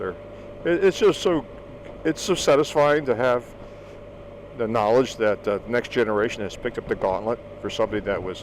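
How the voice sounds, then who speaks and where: A man with an American accent talks at a fairly quick pace with ordinary pitch variation over noticeable background noise. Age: 60s. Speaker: vlogger. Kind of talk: casual monologue. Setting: outdoors.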